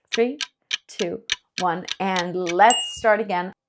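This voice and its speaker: At a very slow pace, a woman talks at medium pitch with ordinary pitch variation in an American accent. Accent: American-leaning English. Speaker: English teacher. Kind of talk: tutorial. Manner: slow, clear reading pace.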